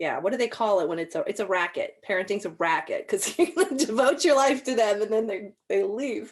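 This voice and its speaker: The speech moves at a fairly quick pace with hardly any pauses and very wide pitch swings. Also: woman, fairly high pitch for a woman. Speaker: podcast host. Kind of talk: casual chat.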